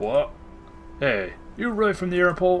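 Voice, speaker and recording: Over clear background music, a man does a put-on character voice, pitched high and delivered at a fairly quick pace. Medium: game stream. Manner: blunt, rude, contemptuous.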